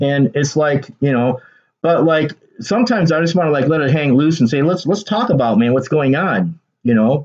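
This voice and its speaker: A man speaks in an animated tone at a moderate pace, his fairly high voice holding very even loudness under lively intonation. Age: 60s. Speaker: artist and video commentator. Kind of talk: casual monologue.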